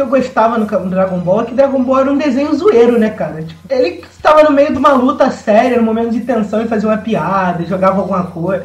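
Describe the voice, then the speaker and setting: Over noticeable background noise, a man speaks very fast with hardly any pauses. His voice sits at an extremely high pitch, and his intonation is lively. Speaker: podcast panelist. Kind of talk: casual chat.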